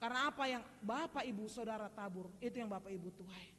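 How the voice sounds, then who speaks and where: Speaking with a Medan accent, a woman keeps an animated tone at a fairly quick pace. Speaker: preacher. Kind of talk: sermon. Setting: church. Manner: animated, addressing congregation directly.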